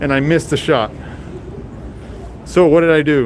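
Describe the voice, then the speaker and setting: A fairly high-pitched man's voice with ordinary pitch variation over noticeable background noise. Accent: American. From Texas, Rio Grande Valley. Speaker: street photographer and streamer. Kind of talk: live stream walking vlog. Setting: outdoors on city streets.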